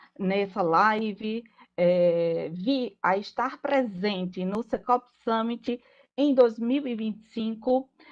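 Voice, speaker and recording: Against a quiet background, a woman with a Paraíba accent speaks very slowly at a fairly high pitch with ordinary pitch variation. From Paraíba, northeastern Brazil. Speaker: lawyer. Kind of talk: panel talk.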